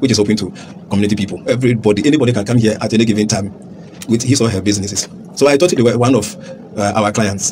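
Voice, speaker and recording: The speech moves at a very fast pace with ordinary pitch variation, over noticeable background noise. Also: man, fairly low pitch for a man. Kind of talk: interview answer. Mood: shaken, recounting an assault. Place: studio.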